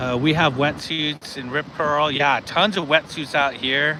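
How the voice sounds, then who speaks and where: Noticeable background noise sits behind this man's voice. He speaks with an American accent at a fairly high pitch. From California, US. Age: 50s. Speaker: vlogger. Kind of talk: live stream chat. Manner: casual, laid-back.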